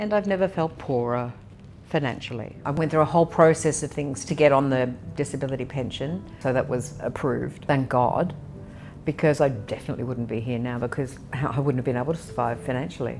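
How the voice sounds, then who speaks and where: Her voice is very deep and low. This woman, with an Australian accent, speaks at a fairly quick pace. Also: ordinary pitch variation. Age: 60s. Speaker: interviewee on aging and poverty. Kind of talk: personal testimony interview.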